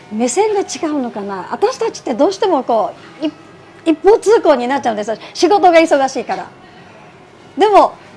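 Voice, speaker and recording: Music plays in the background as a woman speaks at a moderate pace with big swings in loudness. Her pitch is high and swings very widely. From Niigata City, Japan. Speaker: rice ball shop owner. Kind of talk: interview.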